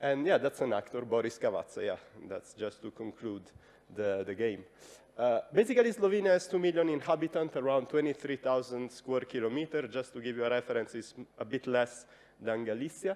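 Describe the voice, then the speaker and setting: Someone speaks with an Italian accent at a fairly quick pace. The intonation is lively. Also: man, medium pitch for a man. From Italy. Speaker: radio journalist. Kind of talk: conference presentation. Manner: hesitant, many fillers.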